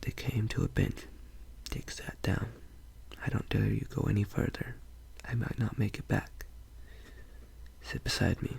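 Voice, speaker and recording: The voice is whispering at a moderate pace. Long pauses come often. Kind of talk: narration reading a novel aloud. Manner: soft-spoken.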